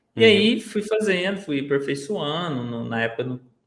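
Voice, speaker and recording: Using lively intonation, a man with a plain, everyday voice speaks at a fairly high pitch. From Minas Gerais, Brazil. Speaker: digital marketer, former bus conductor. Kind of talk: casual interview chat.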